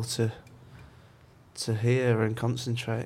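A man's somewhat breathy voice has monotone, flat intonation at a very slow pace. Audible room echo surrounds him. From York, northern England. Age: 20s. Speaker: interviewee describing his ear problems. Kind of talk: casual interview.

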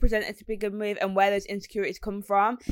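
A woman speaks with a Brummie accent at a medium pitch. The recording is very clean, with a silent background. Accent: Brummie (Birmingham English). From West Midlands, England. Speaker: radio presenter and DJ. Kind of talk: casual interview chat.

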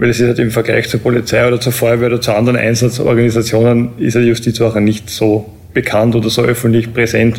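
Delivery comes at a very fast pace, somewhat breathy. The intonation stays monotone and flat. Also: man. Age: 30s. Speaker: prison officer. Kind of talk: interview.

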